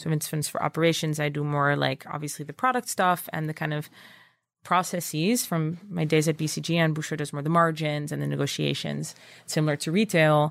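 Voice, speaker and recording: A woman with a Dutch accent, very deep and low in pitch, at a fairly quick pace with fairly even intonation, on a very clean recording with a silent background. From Netherlands. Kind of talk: interview.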